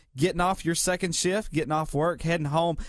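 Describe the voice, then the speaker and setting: A high-pitched man with ordinary pitch variation on a very clean recording with a silent background. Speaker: radio personality. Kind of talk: radio news report.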